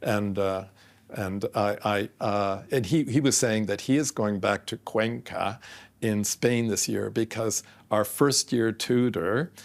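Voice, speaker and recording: Delivered at a very slow pace with a Canadian accent and ordinary pitch variation, the recording is very clean with a silent background. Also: man, fairly low pitch for a man. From Canada. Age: 70s. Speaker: architecture professor. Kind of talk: casual chat. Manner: halting.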